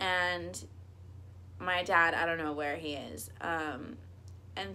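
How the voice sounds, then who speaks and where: A woman speaks with a very deep, low pitch, vocal fry, and a bright, sharp tone. Audible room echo surrounds her voice. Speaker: YouTuber. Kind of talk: storytelling vlog.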